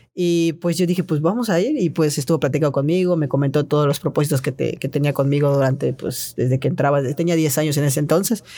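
At a very fast pace, a man speaks in a dark, mellow tone with a fairly high pitch, ordinary pitch variation and very even loudness. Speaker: trampoline gymnast. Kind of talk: casual interview. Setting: recording studio. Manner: hesitant, many fillers.

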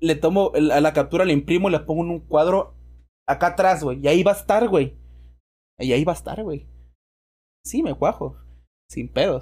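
A man with a Mexican accent at a moderate pace, with long, frequent pauses. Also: very clean recording, silent background. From Mexico. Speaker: podcast host. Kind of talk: casual chat.

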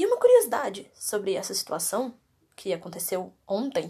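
A woman is speaking. Her pace is moderate. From Minas Gerais, Brazil (Contagem). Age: 20s. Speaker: podcast host, university student with panic disorder. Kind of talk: personal monologue, testimony. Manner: casual, hesitant with fillers.

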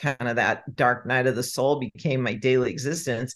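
Very deep and low-pitched, a woman speaks at a moderate pace with fairly even intonation over a quiet background. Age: 60s. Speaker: author and energy-profiling teacher. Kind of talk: interview, explanatory teaching.

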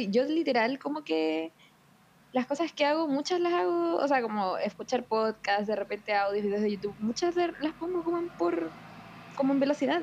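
A woman talks at a moderate pace in a high pitch with very wide pitch swings. Noticeable background noise runs behind her. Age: 20s. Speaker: podcast co-host. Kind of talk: casual chat.

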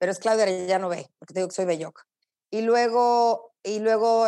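Against a quiet background, a woman with a dark, mellow tone speaks at a fairly high pitch and moderate pace with fairly even intonation. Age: 50s. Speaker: journalist and broadcaster. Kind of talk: interview.

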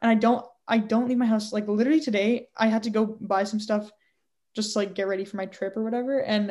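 With a Canadian accent, a woman speaks at a moderate pace and a fairly high pitch, somewhat breathy. Her intonation is fairly even, and the background is quiet. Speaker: podcast co-host. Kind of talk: casual chat.

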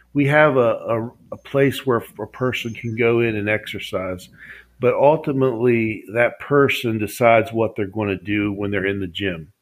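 With an Appalachian accent, a man speaks at a moderate pace and medium pitch with ordinary pitch variation, in a very clean recording with a silent background. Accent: Appalachian American. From US, West Virginia. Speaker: publisher and author. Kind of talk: interview.

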